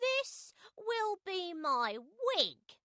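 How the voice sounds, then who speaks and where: A woman puts on a character voice, pitched extremely high and swinging very widely up and down. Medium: read story. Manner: playful, lively.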